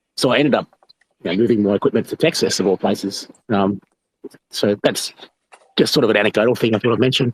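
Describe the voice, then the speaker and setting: In an Australian accent, a man of medium pitch talks at a very fast pace with ordinary pitch variation and long, frequent pauses, the sound dry and close with no echo. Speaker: bitcoin miner, audience participant. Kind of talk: casual question from audience. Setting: online audio room. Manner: hesitant, many fillers.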